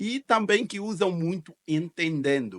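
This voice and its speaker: A dry, close sound with no echo carries speech with ordinary pitch variation. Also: man. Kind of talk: reaction video commentary.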